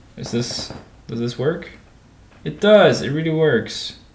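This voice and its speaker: Audible room echo surrounds a man whose fairly high voice makes very wide pitch swings. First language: not English. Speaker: gaming livestreamer coding a game level. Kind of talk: casual commentary while coding. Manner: casual, hesitant with fillers.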